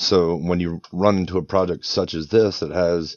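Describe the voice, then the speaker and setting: A man with a Northeastern American accent speaks at a very deep, low pitch. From Northeast Pennsylvania, US. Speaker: head of operations for NFT project. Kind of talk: interview.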